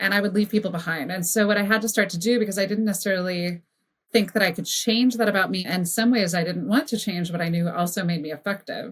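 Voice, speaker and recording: At a very fast pace, a woman speaks at a medium pitch with ordinary pitch variation and a somewhat breathy sound. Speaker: brand strategist. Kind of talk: podcast interview conversation.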